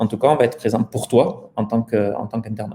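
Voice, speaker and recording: A man with a slight southern French accent talks at a very fast pace and a medium pitch. His tone is dark and mellow, and somewhat breathy. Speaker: startup founder. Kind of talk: interview.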